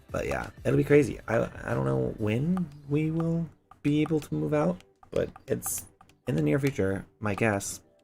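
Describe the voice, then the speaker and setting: With music underneath, a man delivers his words fairly slowly. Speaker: gaming streamer. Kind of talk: casual livestream chat. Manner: loud; hyper, energetic.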